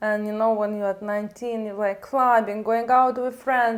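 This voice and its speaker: This woman speaks with a fairly high pitch and fairly even intonation. There is noticeable background noise behind her. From outside UK. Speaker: nail technician. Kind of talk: casual chat.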